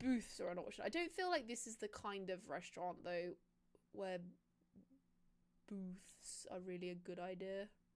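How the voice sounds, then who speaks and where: Her speech comes in a British accent. A woman talks at a fairly slow pace. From Britain. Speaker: streamer. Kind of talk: casual gameplay livestream chat. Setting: livestream.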